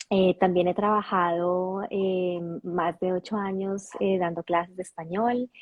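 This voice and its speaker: A woman with a Colombian accent speaks at a fairly slow pace in a medium pitch, her intonation flat and monotone. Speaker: intercultural coach. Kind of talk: interview. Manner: halting, many fillers and restarts.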